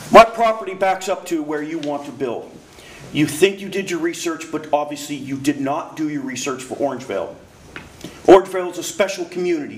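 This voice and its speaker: Over noticeable background noise, a man talks with big swings in loudness. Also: fairly high pitch for a man, ordinary pitch variation, fairly quick pace. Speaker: public commenter at community meeting. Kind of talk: public comment at community meeting.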